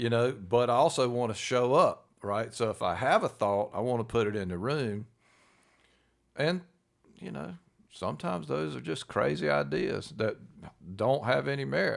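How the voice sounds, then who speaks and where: Loud and medium in pitch, a man speaks at a moderate pace with very wide pitch swings and long, frequent pauses. The recording is very clean, with a silent background. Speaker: podcast co-host. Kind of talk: casual chat.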